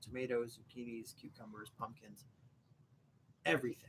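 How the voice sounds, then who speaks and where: This man speaks fairly quickly with an American accent. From Ohio. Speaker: homesteading beer-review YouTuber. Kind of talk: casual live-stream chat. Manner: casual, halting.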